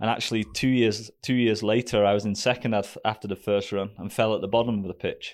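With a British accent, a man talks at a fairly quick pace and fairly low pitch. The recording is very clean, with a silent background. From Great Britain. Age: 30s. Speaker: professional ski racer. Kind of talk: casual interview.

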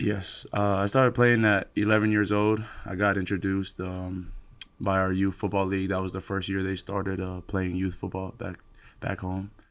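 On a very clean recording with a silent background, a man with an American accent speaks in a fairly low voice with monotone, flat intonation. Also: moderate pace. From American Samoa. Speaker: college football player. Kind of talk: interview.

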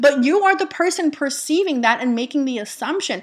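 Her tone animated and her intonation lively, a woman speaks at a high pitch. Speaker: manifestation coach and podcast host. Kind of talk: motivational podcast monologue.

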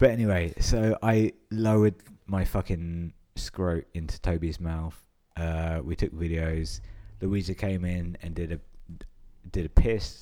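A dark, mellow voice with a southern English accent, at a fairly slow pace with fairly even intonation. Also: man, very deep, low pitch for a man. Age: 20s. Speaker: podcast host. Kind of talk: casual chat.

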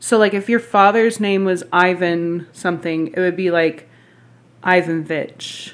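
On a very clean recording with a silent background, a woman speaks at a fairly slow pace with medium pitch and fairly even intonation. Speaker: podcast guest. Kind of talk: casual chat.

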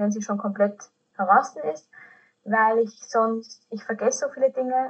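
A woman speaks at a moderate pace with fairly even intonation. Her fairly high voice sounds somewhat breathy. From Austria. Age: 20s. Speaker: podcast host. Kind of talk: casual chat.

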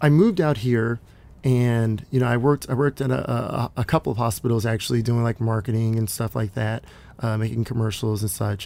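An ordinary speaking voice comes from a man with an American accent, medium in pitch. He talks fairly quickly with fairly even intonation. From Texas, Dallas. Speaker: film crew member and aspiring director. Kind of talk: interview.

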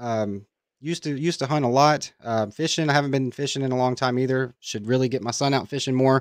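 This man talks at a very fast pace in an American accent. His pitch is medium and his intonation is fairly even. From Kentucky, US. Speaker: crypto YouTuber. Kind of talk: casual interview. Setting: live stream.

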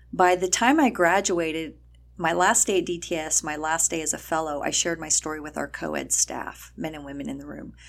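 A woman with an American accent talks at a fairly quick pace. Her loudness swings a lot. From El Paso, Texas. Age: 50s. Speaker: nonprofit founder and ministry leader. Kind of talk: interview conversation.

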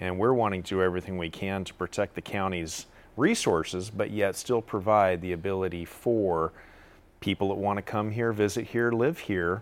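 A man with an unremarkable speaking voice, fairly low pitch, fairly even intonation and a moderate pace. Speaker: panel guest on water issues. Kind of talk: panel discussion. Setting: TV studio.

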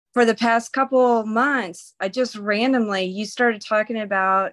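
A woman with a Belarusian accent speaks at a moderate pace with fairly even intonation. The sound is dry and close with no echo, over a quiet background. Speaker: caller. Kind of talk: casual chat. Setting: video call.

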